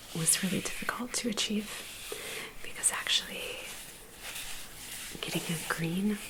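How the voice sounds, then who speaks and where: A woman's whispering against noticeable background noise. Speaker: quilter and knitwear designer. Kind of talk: ASMR crafting vlog. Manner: soft-spoken, whispered.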